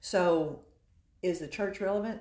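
A woman talks at a medium pitch, her voice somewhat breathy. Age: 60s. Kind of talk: casual chat.

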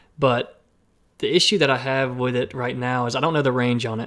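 A man in an American accent, medium pitch, moderate pace and fairly even intonation. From Alabama, US South. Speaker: filmmaker and drone pilot. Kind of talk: casual interview chat.

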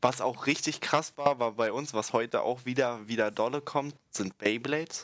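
In an unremarkable speaking voice, a man at a medium pitch talks at a moderate pace with fairly even intonation and hardly any pauses, on a very clean recording with a silent background. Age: 20s. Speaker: podcast guest, school friend of co-host. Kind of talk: casual chat.

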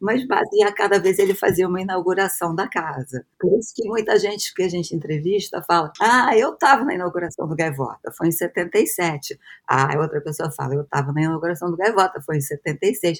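A woman's medium-pitched voice with lively intonation, a moderate pace and hardly any pauses, on a very clean recording with a silent background. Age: 60s. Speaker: psychoanalyst and university professor. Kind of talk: interview, personal recollection. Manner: hesitant, many fillers and repetitions.

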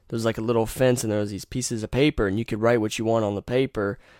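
A man with an eastern North Carolina accent on a very clean recording with a silent background. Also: dry, close sound with no echo. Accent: US Southern (eastern North Carolina). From North Carolina (Rocky Mount). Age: 20s. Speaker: podcast host. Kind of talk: casual monologue. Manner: animated.

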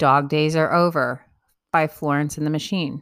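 Upbeat, playful tone from a woman with a very deep, low pitch and ordinary pitch variation, in a very clean recording against a silent background. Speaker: blogger reading own blog entry. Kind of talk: reading aloud a mock-serious written eulogy and funeral wishes, tongue-in-cheek. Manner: wry, playful and cheeky, with laughter, emphatic list-like delivery; candid and upbeat, breezy asides addressing the listener directly.

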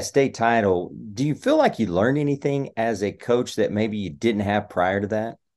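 With a Texan accent, a man of medium pitch talks at a moderate pace using lively intonation. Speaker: sports podcast host. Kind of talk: casual sports chat and score rundown.

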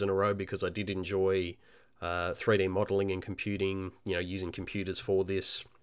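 Someone with an Australian accent speaks at a moderate pace on a very clean recording with a silent background. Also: man. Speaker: indie game developer and podcast host. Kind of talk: solo podcast monologue. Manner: halting, many fillers.

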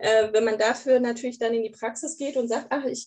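Her pitch high, a woman speaks at a fairly quick clip. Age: 30s. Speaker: grief counselor. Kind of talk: casual interview.

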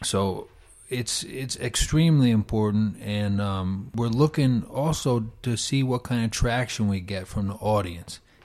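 The speaker has a New York accent and ordinary pitch variation at a fairly slow pace. The recording is very clean with a silent background. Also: man, medium pitch for a man. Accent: New York American. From New York, US. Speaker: startup founder and consultant. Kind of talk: interview.

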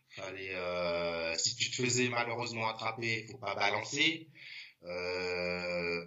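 Audible room echo surrounds a man's voice. He talks very slowly, with ordinary pitch variation. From Paris, 11th arrondissement. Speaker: graffiti artist. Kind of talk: casual chat. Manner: halting.

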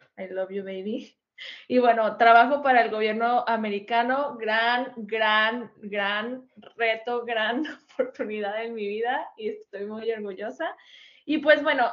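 The pace is very slow. Loudness swings widely from moment to moment. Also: woman. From Mexico. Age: 20s. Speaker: podcast co-host. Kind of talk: casual chat.

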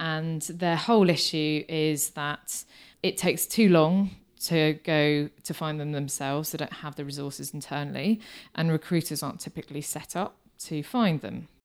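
A woman with a British accent speaks at a very deep, low pitch with ordinary pitch variation, recorded very cleanly against a silent background. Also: moderate pace. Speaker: marketing business founder. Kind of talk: interview.

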